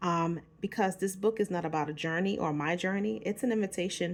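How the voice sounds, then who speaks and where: A woman speaks with a New York accent. She keeps a moderate pace and ordinary pitch variation. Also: very clean recording, silent background. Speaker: author and self-help vlogger. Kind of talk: casual vlog book promotion. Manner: casual, informal.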